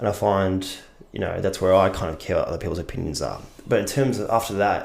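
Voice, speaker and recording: A man with an Australian accent, fairly low-pitched, talking at a very fast pace amid audible room echo. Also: ordinary pitch variation. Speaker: actor. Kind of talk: casual chat.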